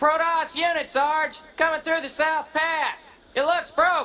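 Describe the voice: A man uses a put-on character voice at an extremely high pitch. His bright, sharp tone shows little pitch movement at a fairly slow pace.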